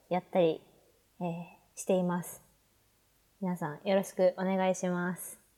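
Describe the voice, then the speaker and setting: This woman speaks at a medium pitch. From Hokkaido, Japan. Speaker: pharmacy student and podcaster. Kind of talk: casual chat.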